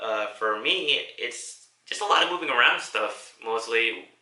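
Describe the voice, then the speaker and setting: This is a man speaking. The room gives his voice an audible echo. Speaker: vlogger and army soldier. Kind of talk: casual vlog monologue. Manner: halting, stuttering; casual, profane.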